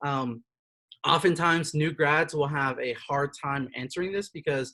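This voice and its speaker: This man's voice is fairly high-pitched, with a bright, sharp tone. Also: dry, close sound with no echo. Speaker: career counselor. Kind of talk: online workshop presentation. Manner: fast; hesitant, many fillers.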